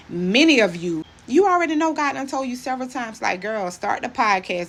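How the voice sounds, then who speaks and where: Noticeable background noise sits behind a woman's voice. She talks at a fairly quick pace with very wide pitch swings. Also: hardly any pauses. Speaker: former hairstylist turned motivational speaker. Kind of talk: motivational talk to camera. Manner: fast.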